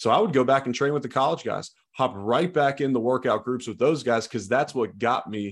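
This is a man with a plain, everyday voice at medium pitch and ordinary pitch variation. The recording is very clean, with a silent background. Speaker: former football player turned sports commentator. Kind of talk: casual chat.

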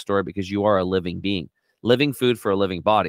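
A man speaks very fast in a fairly low pitch. His tone is animated and his intonation lively. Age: 50s. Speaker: health and detox coach. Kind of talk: casual interview.

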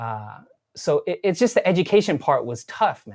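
A man's fairly high voice with vocal fry and very wide pitch swings, in a very clean recording over a silent background. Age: 40s. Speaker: coffee equipment company founder. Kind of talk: casual chat.

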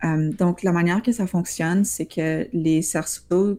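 A woman speaks with a dark, mellow tone at a fairly low pitch. The recording is very clean, and the background is silent. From Ottawa, Ontario (Franco-Ontarian). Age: young. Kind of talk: interview.

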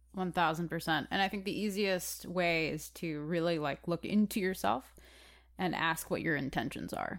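In a very clean recording with a silent background, a woman with an American accent speaks at a fairly low pitch and moderate pace, with vocal fry and ordinary pitch variation. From Chicago. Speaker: actor, musician and activist, podcast co-host. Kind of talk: casual chat.

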